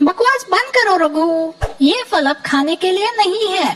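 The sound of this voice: A cartoonish character voice with an extremely high pitch speaks at a moderate pace.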